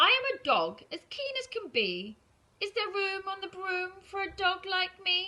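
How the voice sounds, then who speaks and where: Here a woman uses a put-on character voice. Her pitch is extremely high, and she speaks at a moderate pace. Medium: read story.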